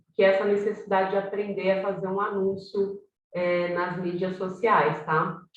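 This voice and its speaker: Amid audible room echo, a woman at a medium pitch speaks at a moderate pace in a monotone, flat intonation. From Brazil, São Paulo south zone. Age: 40s. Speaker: workshop facilitator. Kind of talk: online workshop.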